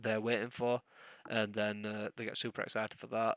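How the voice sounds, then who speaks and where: A man speaks at a moderate pace in a bright, sharp tone and medium pitch, his intonation monotone and flat, on a very clean recording with a silent background and a dry, close sound with no echo. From England. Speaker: podcast co-host. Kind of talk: casual chat.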